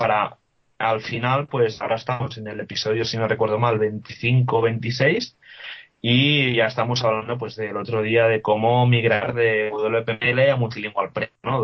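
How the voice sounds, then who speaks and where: In a plain, everyday voice, a man talks at a fairly slow pace with medium pitch and fairly even intonation. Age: 20s. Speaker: WordPress developer and podcaster. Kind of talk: casual interview.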